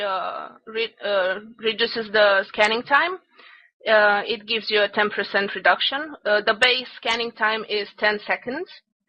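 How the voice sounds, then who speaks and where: The delivery moves at a fairly slow pace. Pitch variation is ordinary. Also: woman. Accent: non-native. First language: not English. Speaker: game class instructor. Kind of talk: online class lecture. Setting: voice chat server. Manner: halting, many fillers.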